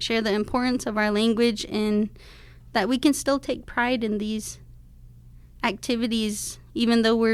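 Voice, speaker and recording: A woman with a Navajo Nation accent and a fairly high pitch talks at a moderate pace with monotone, flat intonation. The recording is very clean, with a silent background. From Navajo Nation, Arizona. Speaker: pageant titleholder and rancher. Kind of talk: radio interview.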